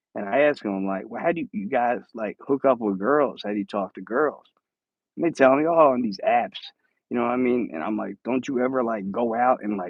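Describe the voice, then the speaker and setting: With a Philadelphia accent, a man talks at a fairly quick pace and medium pitch with lively intonation. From Philadelphia, US. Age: 40s. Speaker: live streamer. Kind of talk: casual chat. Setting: home. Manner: casual, halting with repeated words.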